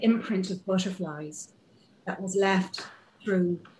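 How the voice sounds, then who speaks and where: Somewhat breathy and monotone, a woman speaks at a fairly slow pace over light background noise. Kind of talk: interview answer. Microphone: video call.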